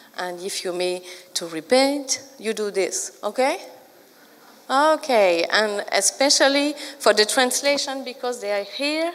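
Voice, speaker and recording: A woman's high voice at a fairly slow pace with very wide pitch swings. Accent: French. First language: French. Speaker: librarian trainer and consultant. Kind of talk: conference talk. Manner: halting, many fillers.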